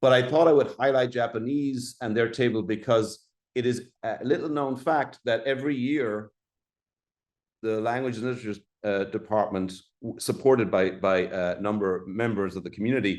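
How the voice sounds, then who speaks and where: This man has an Irish accent and a medium pitch. He talks at a moderate pace. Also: ordinary pitch variation. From Ireland. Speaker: college dean. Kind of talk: presentation. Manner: halting, many fillers.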